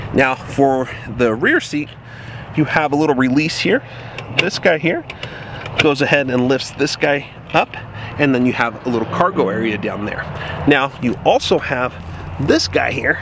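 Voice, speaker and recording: With noticeable background noise, a man speaks at a moderate pace with ordinary pitch variation and long, frequent pauses, the sound dry with no echo. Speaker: vehicle reviewer. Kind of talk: casual walkaround commentary. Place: car. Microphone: phone near.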